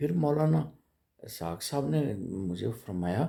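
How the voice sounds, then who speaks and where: This is a very clean recording with a silent background. A man speaks in it with lively intonation. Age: 60s. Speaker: political commentator vlogger. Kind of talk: political monologue. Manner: halting; animated.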